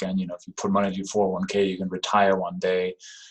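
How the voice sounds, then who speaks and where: A man with a Danish accent and ordinary pitch variation. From Denmark. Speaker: real estate investor. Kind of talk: podcast interview. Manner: halting.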